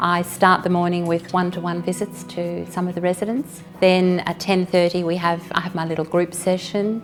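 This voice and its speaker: With an Australian accent, a woman speaks in a fairly low, monotone voice with flat intonation at a moderate pace. She leaves hardly any pauses, and music plays in the background. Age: 60s. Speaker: aged care volunteer. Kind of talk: interview testimony.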